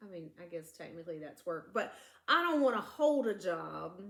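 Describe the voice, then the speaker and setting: A woman with a Southern US accent talks at a fairly quick pace and a medium pitch. Her tone is animated, with very wide pitch swings. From US South. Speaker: true crime podcast co-host. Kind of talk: casual storytelling chat. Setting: home living room, filmed.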